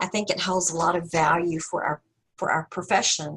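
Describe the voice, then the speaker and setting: A woman talks with a slight Southern US accent. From US South. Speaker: counseling professor. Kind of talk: webinar presentation and discussion. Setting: video call.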